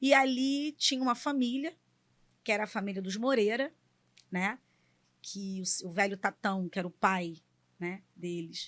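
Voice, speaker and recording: A woman at a medium pitch and fairly slow pace, with lively intonation, long and frequent pauses, and a very clean recording with a silent background. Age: 40s. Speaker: engineer and political aide. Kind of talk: podcast interview.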